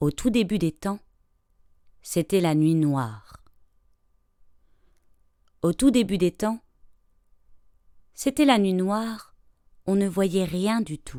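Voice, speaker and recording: A dark, mellow tone carries lively intonation at a very slow pace with long, frequent pauses, on a very clean recording with a silent background. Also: woman, medium pitch for a woman. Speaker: storyteller. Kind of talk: folk tale storytelling.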